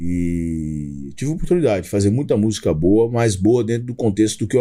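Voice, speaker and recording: In a dark, mellow tone, the man moves along at a fairly quick pace. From Brazil, Belo Horizonte (Minas Gerais). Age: 40s. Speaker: gospel rapper. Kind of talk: podcast interview, testimony.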